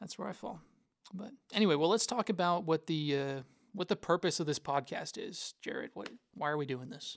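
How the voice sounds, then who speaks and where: A man with a high pitch speaks in an Oklahoma accent at a fairly quick pace with big swings in loudness, on a very clean recording with a silent background and a dry, close sound with no echo. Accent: Oklahoma American. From Tulsa, Oklahoma. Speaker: church ministry assistant. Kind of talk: casual chat.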